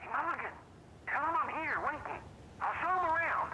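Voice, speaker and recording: A put-on character voice at an extremely high pitch speaks at a fairly quick pace over clear background noise. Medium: video game. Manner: loud, blunt.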